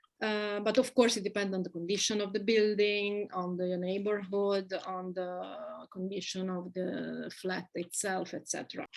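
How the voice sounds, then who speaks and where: A woman speaks in a medium pitch with monotone, flat intonation at a fairly slow pace. The recording is very clean, with a silent background. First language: Italian. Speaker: expat living in Belgium. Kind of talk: casual interview.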